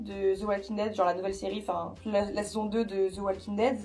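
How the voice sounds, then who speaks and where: A woman speaks at a fairly quick pace in a fairly high voice. Noticeable background noise runs underneath. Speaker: vlogger. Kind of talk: vlog. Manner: fast casual with many fillers.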